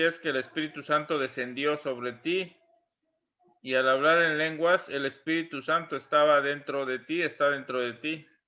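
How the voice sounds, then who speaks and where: Fairly slow delivery in an unremarkable speaking voice, the intonation fairly even. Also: man. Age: 60s. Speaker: church interviewer. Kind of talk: interview.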